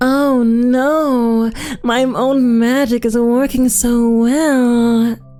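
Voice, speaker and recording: A put-on character voice, female-sounding and high-pitched, at a very slow pace over noticeable background noise. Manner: teasing.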